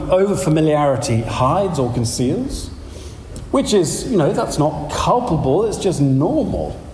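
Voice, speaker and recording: A man's fairly high voice with a London accent, lively intonation and a fairly slow pace, amid audible room echo and noticeable background noise. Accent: southern English (London). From London, England. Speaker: pastor and teacher. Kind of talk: lecture.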